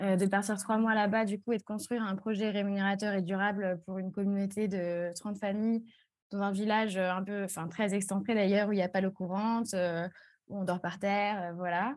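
A woman at medium pitch, monotone and flat, at a moderate pace over a quiet background. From Strasbourg, eastern France. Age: 20s. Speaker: community manager. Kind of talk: interview.

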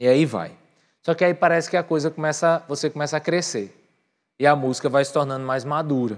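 The speaker talks at a fairly quick pace in an animated tone, with ordinary pitch variation. The recording is very clean, the background silent. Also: man, fairly high pitch for a man. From Brazil, Northeast (Patos, Paraíba). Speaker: pastor. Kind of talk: sermon. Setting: church with live audience, livestreamed.

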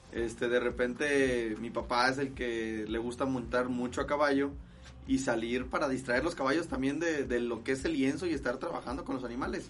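A man at a moderate pace, his intonation fairly even, with audible room echo. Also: medium pitch for a man. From Guadalajara, Jalisco, Mexico. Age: 20s. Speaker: charro rider. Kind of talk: casual interview. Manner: halting.

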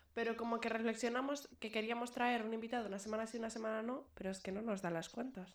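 A woman's fairly high voice at a very fast pace, with fairly even intonation and hardly any pauses. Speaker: podcast co-host. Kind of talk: casual chat. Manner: loud.

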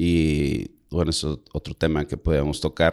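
A man speaks at a fairly slow pace in a very deep, low voice. The recording is very clean, with a silent background. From Monterrey, northern Mexico. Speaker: podcast co-host. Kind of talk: casual chat.

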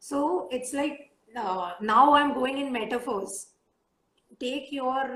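Audible room echo surrounds a woman speaking at a very slow pace. Her pitch varies in an ordinary way. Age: 20s. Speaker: writer and avid reader. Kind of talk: casual chat. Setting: Instagram live stream.

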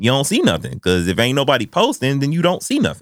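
His voice carries vocal fry. The man's pitch swings very widely. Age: 30s. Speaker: podcast host. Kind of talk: casual chat. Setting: studio.

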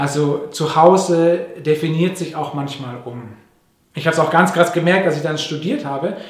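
With a plain, everyday voice, a man speaks at a moderate pace, his intonation fairly even but his loudness swinging widely. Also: fairly high pitch for a man. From Papua New Guinea (Manus), then Germany from age nine. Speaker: pastor. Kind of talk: sermon. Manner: conversational with fillers.

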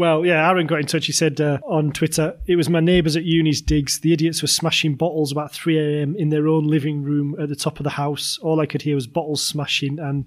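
A man's fairly high-pitched voice, fairly quick and monotone, flat in intonation, with hardly any pauses. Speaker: podcast host. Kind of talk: casual comedy chat.

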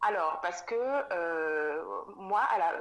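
A woman speaks with lively intonation. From Cameroon, Douala. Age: 30s. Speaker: specialized educator and mother. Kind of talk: casual interview. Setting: remote recording. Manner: halting, many fillers.

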